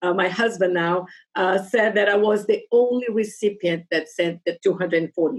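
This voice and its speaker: A woman speaks in a Portuguese accent at a medium pitch and moderate pace with ordinary pitch variation. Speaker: Rotary club member. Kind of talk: casual interview.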